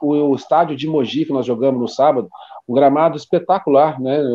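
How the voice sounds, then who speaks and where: A man with an unremarkable speaking voice talks at a fairly quick pace, his fairly high pitch held in fairly even intonation. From Brazil, São Paulo state (Taubaté). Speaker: football coach and club director. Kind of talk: casual interview.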